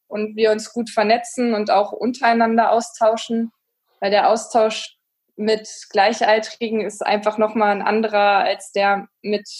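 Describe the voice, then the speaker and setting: A woman speaks at a fairly high pitch. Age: 30s. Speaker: wastewater engineer, association chair. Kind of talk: casual chat.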